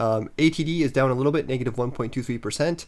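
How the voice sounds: A man with a medium pitch talks fast.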